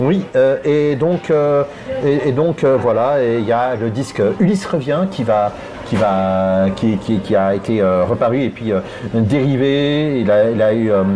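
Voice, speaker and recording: Amid noticeable background noise, a man talks at a very slow pace with a medium pitch, lively intonation and very even loudness. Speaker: podcast co-host. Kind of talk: casual chat. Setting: bar. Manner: hesitant, many fillers.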